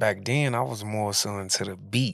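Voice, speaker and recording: A plain, everyday voice from a man, fairly low in pitch, at a moderate pace. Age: 30s. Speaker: rapper. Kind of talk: casual chat.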